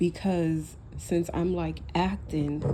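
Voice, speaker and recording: A woman speaking very slowly, with noticeable background noise and audible room echo. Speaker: vlogger. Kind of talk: personal vlog monologue. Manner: casual, rambling, self-reflective.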